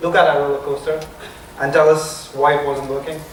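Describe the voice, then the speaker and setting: Through audible room echo and noticeable background noise, a man with a non-native accent talks at a fairly quick pace. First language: not English. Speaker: software security consultant presenting. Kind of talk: conference talk. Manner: halting, repeats words.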